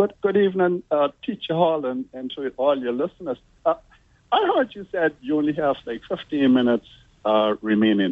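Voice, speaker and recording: Noticeable background noise sits behind a man with a fairly high pitch. He speaks at a moderate pace with very wide pitch swings. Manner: hesitant.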